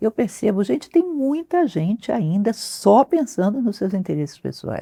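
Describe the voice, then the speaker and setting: A woman with a dark, mellow tone talks at a moderate pace, her pitch swinging very widely. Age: 60s. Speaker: philosophy teacher. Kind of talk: interview conversation.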